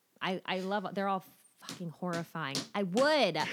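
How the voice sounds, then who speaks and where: Speaking at a moderate pace, a woman uses a normal speaking voice at medium pitch with ordinary pitch variation. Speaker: guest host. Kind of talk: casual chat.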